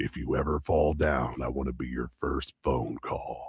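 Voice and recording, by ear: In a put-on character voice, a man growls at a moderate pace, raspy and very deep in pitch, with monotone, flat intonation.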